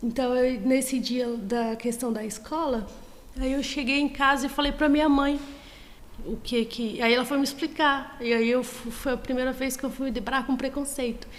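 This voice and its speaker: A woman speaks in a Bahian accent at a moderate pace, high-pitched and monotone. Audible room echo surrounds her voice. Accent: Brazilian Portuguese, Northeastern (Bahian). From Brazil, Bahia (Northeast). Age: 30s. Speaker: student. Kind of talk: casual interview.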